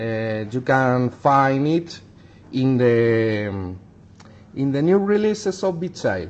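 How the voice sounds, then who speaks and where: Speaking at a very slow pace with a non-native accent, a man uses a medium pitch with very wide pitch swings. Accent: non-native English speaker. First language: Spanish. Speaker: miniature painter. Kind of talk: tutorial. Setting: livestream. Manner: halting.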